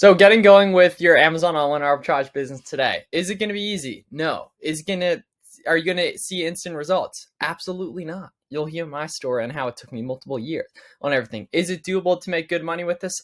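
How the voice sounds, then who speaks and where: A man with an American accent talks at a very fast pace over a quiet background. His voice is high-pitched, with ordinary pitch variation. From Pennsylvania. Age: 20s. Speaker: online seller and business coach; online seller, business coach. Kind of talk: tutorial. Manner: casual, conversational. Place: home room.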